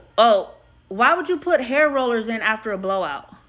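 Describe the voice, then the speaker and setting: Music plays behind a voice that moves at a fairly slow pace. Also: woman. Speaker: hairstylist. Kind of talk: live stream Q&A. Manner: loud; casual, chatty.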